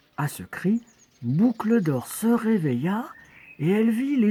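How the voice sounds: The reading voice sounds natural, its intonation lively.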